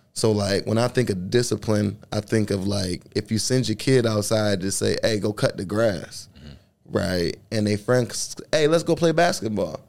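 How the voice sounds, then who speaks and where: The man's pitch is fairly low, with ordinary pitch variation. He uses a normal speaking voice at a moderate pace. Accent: American. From Buffalo, New York. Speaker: podcast host and fatherhood program facilitator. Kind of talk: casual conversational chat.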